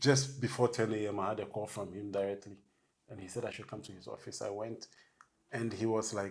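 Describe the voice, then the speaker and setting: A man speaks at a fairly quick pace in a fairly low, somewhat breathy voice. His intonation is fairly even, while his loudness swings widely. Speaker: bus driver. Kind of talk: interview.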